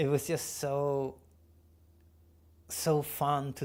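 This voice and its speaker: A man is captured on a very clean recording over a silent background. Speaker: filmmaker and VFX artist streaming his work. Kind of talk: casual live stream while working. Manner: halting, many fillers; mumbling.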